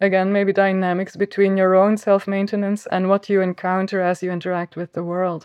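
A woman at medium pitch, monotone and flat, with a dry, close sound, no echo and a quiet background. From Flanders, Belgium. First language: Flemish (Dutch). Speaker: philosopher and cognitive scientist. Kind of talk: interview conversation.

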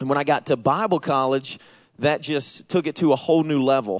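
A man with a Southern accent and a fairly high pitch is recorded with a dry, close sound with no echo and a quiet background. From US South, Georgia. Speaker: missions and outreach pastor. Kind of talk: sermon. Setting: church.

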